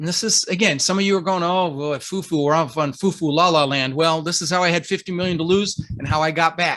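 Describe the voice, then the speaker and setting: Very fast talk from a man, hardly any pauses, high-pitched with ordinary pitch variation. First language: not English. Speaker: real estate investor and coach. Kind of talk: interview, motivational coaching. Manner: animated.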